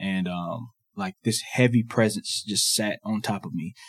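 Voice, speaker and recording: This man has an unremarkable speaking voice with an American accent. His pitch is fairly low and his pace moderate. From US South, Georgia. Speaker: former college athlete, campus ministry worker. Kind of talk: personal testimony.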